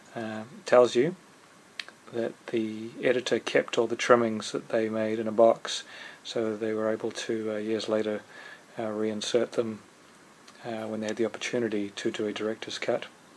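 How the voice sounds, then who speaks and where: Over noticeable background noise, a man speaks at a moderate pace and medium pitch in a flat monotone. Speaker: video reviewer. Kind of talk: casual review talk to camera.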